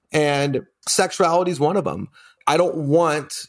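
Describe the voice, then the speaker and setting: On a very clean recording with a silent background, a man uses an ordinary speaking voice, pitched fairly high with ordinary pitch variation. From US, Colorado. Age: 40s. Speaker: business owner. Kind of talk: casual chat.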